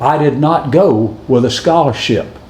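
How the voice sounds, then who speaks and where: Amid noticeable background noise and audible room echo, a man with a Southern US accent speaks in a fairly high pitch with ordinary pitch variation. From US South, Alabama. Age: 70s. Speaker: former college football kicker. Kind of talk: recorded acceptance speech.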